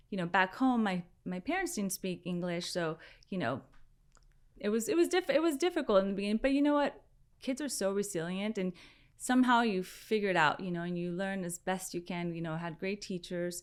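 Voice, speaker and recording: With lively intonation and medium pitch, a woman speaks at a fairly quick pace in a very clean recording with a silent background. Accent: Spanish. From San Diego, California (from age five, born in Mexico). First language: Spanish. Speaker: fashion entrepreneur. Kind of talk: interview.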